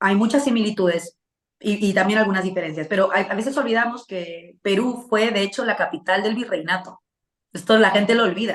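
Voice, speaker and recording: Here is a woman with a normal speaking voice. Her pitch is medium. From Peru, Lima. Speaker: political commentator. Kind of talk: interview.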